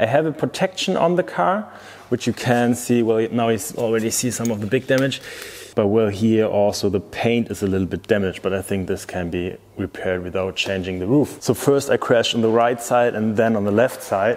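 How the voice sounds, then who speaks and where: Speaking at a fairly quick pace, a man with a German accent uses a medium pitch and ordinary pitch variation. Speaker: car youtuber. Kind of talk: vlog walkthrough.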